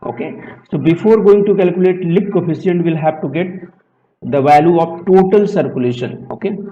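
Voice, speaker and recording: This man talks at a fairly quick pace with a high pitch and ordinary pitch variation. Room echo is audible. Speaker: aerospace engineering lecturer. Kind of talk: lecture.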